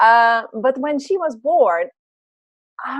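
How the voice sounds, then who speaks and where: With a Dutch accent, a woman speaks very slowly, her pitch swinging very widely. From Netherlands. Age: 40s. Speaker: business and life coach. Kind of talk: interview.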